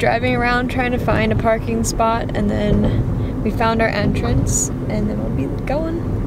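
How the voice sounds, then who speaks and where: Loud background noise surrounds a woman speaking at a very slow pace in a dry sound with no echo. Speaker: vlogger. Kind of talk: casual vlog chat. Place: car. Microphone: phone near.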